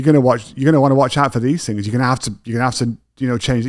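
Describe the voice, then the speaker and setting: A man with a British accent speaks at a medium pitch on a very clean recording with a silent background. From England. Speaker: podcast host. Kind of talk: casual interview conversation.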